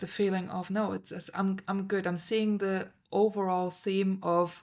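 A woman's medium-pitched voice stays monotone and flat as she talks at a fairly slow pace. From Germany. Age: 40s. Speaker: podcast co-host. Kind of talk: casual chat.

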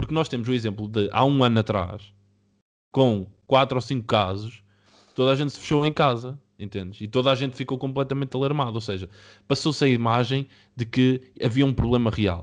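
A man speaks fairly quickly with ordinary pitch variation, and the background is quiet. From Portugal, Oliveira de Azeméis area. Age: 20s. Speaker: software developer, podcast co-host. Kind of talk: casual debate among friends. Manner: halting, repetitive.

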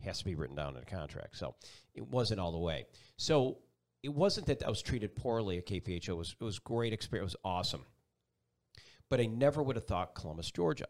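A man with vocal fry and a fairly low pitch, very wide pitch swings, a very fast pace and long, frequent pauses, on a very clean recording with a silent background. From Buffalo, New York. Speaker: TV meteorologist. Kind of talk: casual interview. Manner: animated.

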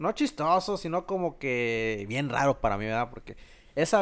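On a very clean recording with a silent background, a man with a plain, everyday voice talks at a moderate pace. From Mexico, Guanajuato. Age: 20s. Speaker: electrician. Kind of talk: casual chat.

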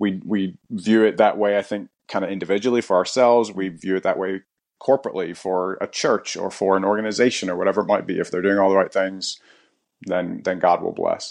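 An unremarkable speaking voice moves at a fairly quick pace with fairly even intonation. The background is quiet. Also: man, fairly low pitch for a man. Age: 40s. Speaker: pastor. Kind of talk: casual conversation.

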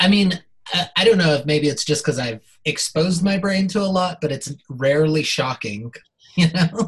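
In a normal speaking voice, a man talks at a moderate pace in a fairly high pitch with ordinary pitch variation. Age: 30s. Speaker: performer and filmmaker. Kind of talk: casual chat.

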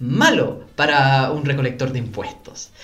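Fairly slow speech from a man with a fairly high pitch, with audible room echo and noticeable background noise. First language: not Spanish; learned Spanish as an adult (speaking Spanish). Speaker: academic and political analyst. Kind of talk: interview conversation. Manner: halting, with fillers and self-corrections.

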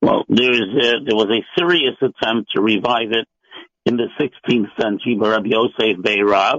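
In an American accent, a normal speaking voice moves at a moderate pace with ordinary pitch variation and very even loudness. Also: man, medium pitch for a man. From US (Maine and Los Angeles). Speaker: rabbi and scholar. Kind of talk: radio panel discussion.

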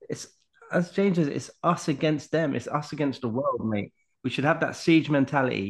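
A man talks at a moderate pace in a plain, everyday voice, his pitch fairly high with ordinary pitch variation. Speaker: football podcast co-host. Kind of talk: casual chat.

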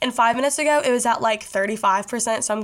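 A woman's high-pitched voice in a Southern US accent, animated in tone with ordinary pitch variation. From Kentucky, Bowling Green. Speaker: podcast host. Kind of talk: casual monologue.

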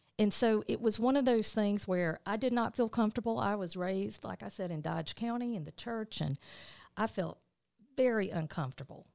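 Woman of medium pitch with lively intonation and a Southern US accent. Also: moderate pace, very clean recording, silent background. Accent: Southern US (Georgia). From US South, rural south Georgia. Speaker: state politician and lawyer. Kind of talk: interview.

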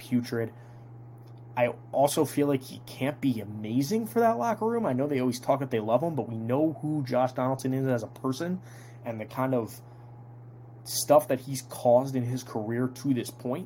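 A man's somewhat breathy, dark, mellow voice at medium pitch, with an American accent and fairly even intonation. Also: fairly quick pace. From New Jersey (Toms River). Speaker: sports podcast host. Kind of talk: casual solo sports analysis podcast.

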